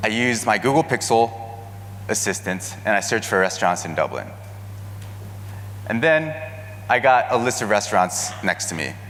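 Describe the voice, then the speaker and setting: Speaking at a moderate pace with long, frequent pauses, a man with a Californian accent uses a fairly low pitch and ordinary pitch variation over noticeable background noise. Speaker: marketing manager giving a keynote. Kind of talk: conference keynote presentation. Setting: stage with audience.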